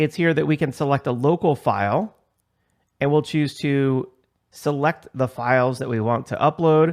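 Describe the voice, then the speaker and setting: A man with an unremarkable speaking voice, fairly high-pitched, talks at a moderate pace with ordinary pitch variation in a dry, close recording with no echo and a quiet background. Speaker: IT course instructor. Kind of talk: tutorial.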